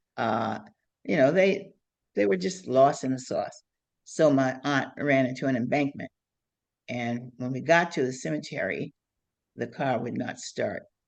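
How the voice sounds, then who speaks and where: A woman with an American accent speaks at a moderate pace in a very deep, low voice. Her pitch varies in an ordinary way, broken by long, frequent pauses. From Ohio. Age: 90s. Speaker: activist and writer. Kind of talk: interview storytelling. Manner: halting.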